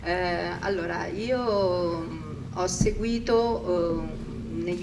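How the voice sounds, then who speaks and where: In an Italian accent, a woman speaks at a very slow pace, with audible room echo and noticeable background noise. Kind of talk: panel discussion. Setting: pavilion with audience. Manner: hesitant, many fillers.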